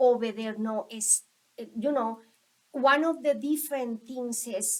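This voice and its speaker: A woman speaks at a fairly slow pace with a Colombian accent. Her pitch is high, with ordinary variation. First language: Spanish. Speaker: school staff member. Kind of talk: interview. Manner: halting.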